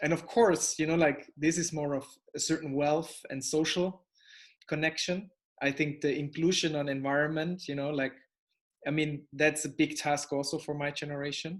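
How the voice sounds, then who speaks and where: The voice is monotone, with flat intonation. The background is quiet. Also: man, fairly high pitch for a man, moderate pace. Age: young. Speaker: interviewer. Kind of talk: interview conversation.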